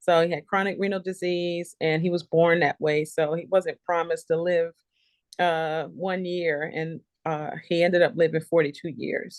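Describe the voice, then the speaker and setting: A woman with an American accent talks at a fairly low pitch and moderate pace, her intonation monotone and flat, against a quiet background. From US South, Charleston, South Carolina (Gullah Geechee). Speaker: nurse entrepreneur. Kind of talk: interview testimony.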